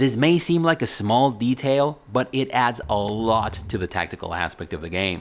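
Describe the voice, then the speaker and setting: The speaker has a non-native accent and lively intonation. The pace is moderate, with hardly any pauses. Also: man, medium pitch for a man. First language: not English. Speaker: video game reviewer. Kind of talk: game review commentary.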